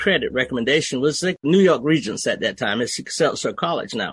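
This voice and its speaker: A man with a Southern US accent. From US South, Georgia swamp area. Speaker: army veteran, education advocate. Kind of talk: interview.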